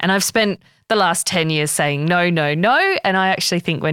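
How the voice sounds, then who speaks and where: A woman with an Australian accent, ordinary pitch variation, and a dry, close sound with no echo. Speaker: podcast host. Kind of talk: interview conversation. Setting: studio.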